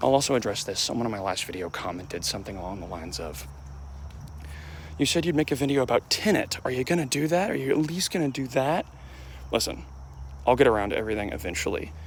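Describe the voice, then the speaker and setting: A soft-spoken man talks at a very fast pace and a medium pitch, with vocal fry. His pitch swings very widely, and he leaves long, frequent pauses. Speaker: YouTuber. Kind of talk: casual vlog monologue. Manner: quiet, soft-spoken.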